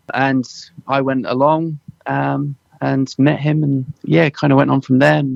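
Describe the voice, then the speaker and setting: Speaking fairly slowly with long, frequent pauses, a man with a slight Suffolk accent is heard in a dry, close sound with no echo. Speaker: dialect assistant on a film, former musician. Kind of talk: interview. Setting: radio interview.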